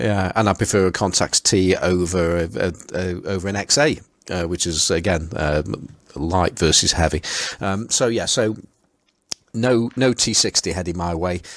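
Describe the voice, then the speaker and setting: A man's very deep, low voice in a Potteries accent, with ordinary pitch variation and a moderate pace. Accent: Potteries (Stoke-on-Trent). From England, Stoke-on-Trent (the Potteries). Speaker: podcast host. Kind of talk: casual chat. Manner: halting, many fillers and repeats.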